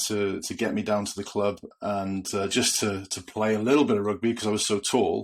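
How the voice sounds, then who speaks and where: A man with a Welsh accent speaks at a moderate pace in a fairly low pitch. His intonation is monotone and flat, and the recording is very clean with a silent background. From Wales. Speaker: retired rugby player, podcast co-host. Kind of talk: casual chat. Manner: hesitant, many fillers.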